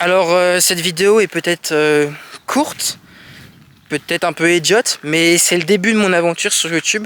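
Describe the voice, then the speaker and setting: A man speaks with a high voice at a moderate pace. His loudness stays very even, and his intonation is fairly even. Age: 20s. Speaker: vlogger. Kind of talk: personal vlog monologue. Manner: hesitant, with fillers and repetitions.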